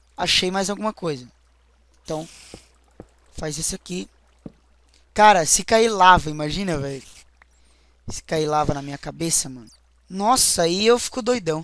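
A man speaks at a moderate pace in a high voice. His loudness swings widely, and he takes long, frequent pauses. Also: ordinary pitch variation. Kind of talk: let's play commentary. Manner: animated.

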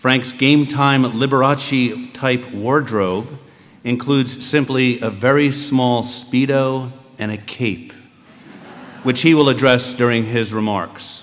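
A man's voice at medium pitch, slow in pace, with fairly even intonation.

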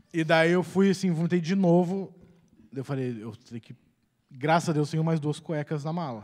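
Heard over a quiet background, the voice moves at a moderate pace with ordinary pitch variation and big swings in loudness. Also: man, fairly high pitch for a man. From Curitiba, southern Brazil; Paraná, Brazil. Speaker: comedian. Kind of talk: comic storytelling. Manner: energetic, animated. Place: stage. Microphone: handheld.

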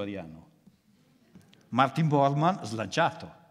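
Speaking very slowly, a man uses a medium-pitched voice with vocal fry. His pitch swings very widely. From northern Italy, Milan. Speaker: philosopher. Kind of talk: lecture.

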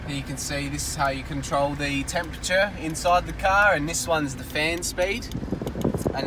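A man talks at a fairly quick pace. The sound is dry with no echo, though noticeable background noise is present. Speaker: car salesperson. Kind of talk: product walkthrough. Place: car. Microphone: phone near.

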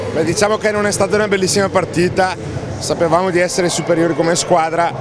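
A man speaks in a high voice. The sound is dry with no echo, though background noise is noticeable. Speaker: women's basketball coach. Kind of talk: post-match interview. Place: gym. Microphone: handheld.

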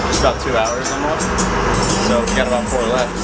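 There is music in the background as a man speaks at a very fast pace. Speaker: vlogger. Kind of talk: casual vlog chat. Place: boat. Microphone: phone near.

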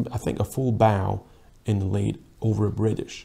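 A man's fairly low voice with a dark, mellow tone at a moderate pace. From Austria. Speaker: rowing coach and video analyst; rowing coach, video analyst. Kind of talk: sports video analysis commentary. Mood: calm, appreciative. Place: office. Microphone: lapel.

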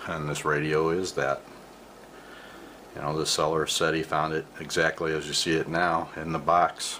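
Against light background noise, a man talks at a fairly slow pace with a very deep, low pitch and monotone, flat intonation. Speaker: vintage radio collector. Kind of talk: casual show-and-tell narration. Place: home room. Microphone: phone near.

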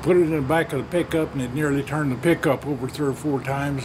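Noticeable background noise surrounds a man with a Southern Plains US accent. His intonation is monotone and flat. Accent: Southern plains US drawl. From Oklahoma/Texas panhandle region. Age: old. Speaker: storyteller. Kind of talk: folksy spoken yarn of a family tall tale. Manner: rambling conversational pacing with folksy 'well' asides. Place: garden. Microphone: phone near.

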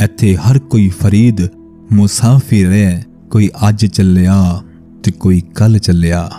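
A man's fairly low voice at very even loudness, dry with no echo, with faint music in the background. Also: fairly even intonation. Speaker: voice-over artist. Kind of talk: poetry reading. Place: studio.

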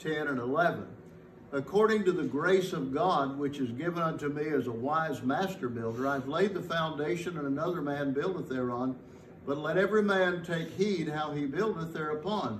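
Audible room echo and light background noise surround a man speaking at a moderate pace with ordinary pitch variation. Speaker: pastor. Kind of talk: sermon. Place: church. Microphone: podium.

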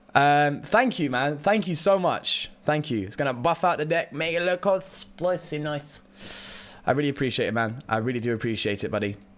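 A man's fairly high, upbeat, animated voice with a British accent, lively intonation and a moderate pace. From Britain. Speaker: Pokemon card game streamer. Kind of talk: casual livestream chat while gaming. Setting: live stream, reading chat. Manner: chatty, upbeat, animated. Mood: excited, grateful. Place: home room.

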